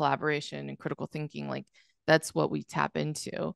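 A woman at a moderate pace, dry with no echo, against a quiet background. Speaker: podcast guest. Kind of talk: casual interview. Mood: reflective, earnest. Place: home room. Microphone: studio mic.

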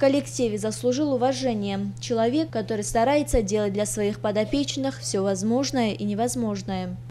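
Hardly pausing at all, a woman keeps to a moderate pace. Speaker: TV news reporter. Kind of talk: TV news report narration.

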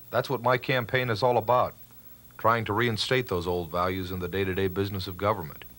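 With a plain, everyday voice and an American accent, a man speaks fairly quickly at a fairly low pitch, showing ordinary pitch variation. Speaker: political candidate. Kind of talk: political campaign ad voice-over.

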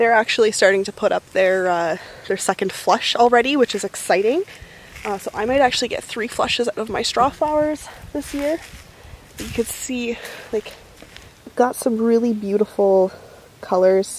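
Speaking at a moderate pace with long, frequent pauses, a woman uses ordinary pitch variation in a dry sound with no echo. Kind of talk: casual vlog chat. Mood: excited, upbeat. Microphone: phone near.

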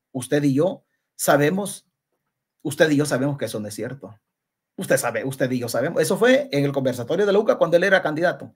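Talking fairly quickly in a Salvadoran accent, a man uses an animated tone with very wide pitch swings. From El Salvador. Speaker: political commentator. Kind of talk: live-stream political commentary. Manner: halting.

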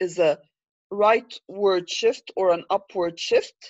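In an Arabic accent, a woman speaks at a very slow pace with a medium pitch. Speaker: economics lecturer. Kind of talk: lecture. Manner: frequent fillers, repetitive.

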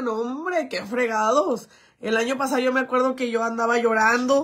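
A woman's high, animated voice at a moderate pace against a quiet background. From Mexico, Jalisco. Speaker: influencer; livestreamer. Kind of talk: livestream chat. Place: home room. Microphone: phone near.

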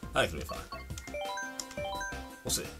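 A man at a very slow pace, with loud music in the background. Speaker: gamer streamer. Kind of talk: gameplay commentary. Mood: frustrated, swearing at game. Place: home room. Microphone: headset.

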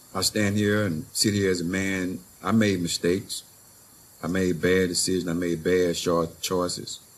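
The speech moves at a moderate pace in a flat monotone. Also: man, very deep, low pitch for a man. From Louisiana. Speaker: formerly incarcerated community organizer. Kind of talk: panel discussion. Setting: stage with audience. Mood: emotional, earnest. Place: garden. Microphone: handheld.

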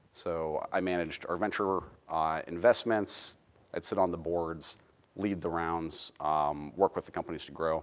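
A man speaks with a very deep, low pitch. His intonation stays fairly even. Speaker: presenter. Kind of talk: lecture. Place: hall.

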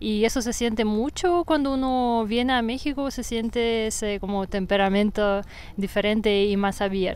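Someone speaks at a moderate pace with a Russian accent. The pitch varies in an ordinary way, and the sound is dry with no echo. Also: woman. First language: Russian (speaking Spanish). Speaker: yoga teacher. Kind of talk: casual interview. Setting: outdoors in a park. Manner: fluent. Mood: calm, relaxed. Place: forest. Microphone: lapel.

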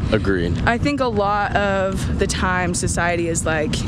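The speech moves at a fairly slow pace over loud background noise. The sound is dry, with no echo. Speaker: interview guest. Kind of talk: interview answer. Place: street. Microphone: phone near.

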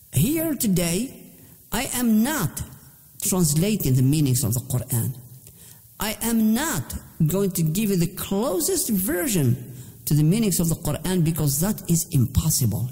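Speaking at a fairly slow pace, a man has a high pitch and a dark, mellow tone. His pitch swings very widely. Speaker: Islamic teacher. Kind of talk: religious lecture.

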